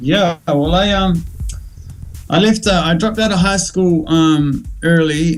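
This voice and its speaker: The speaker has a New Zealand accent and talks at a fairly slow pace. Intonation stays fairly even and loudness very even. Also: man, high pitch for a man. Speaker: musician. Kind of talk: casual interview.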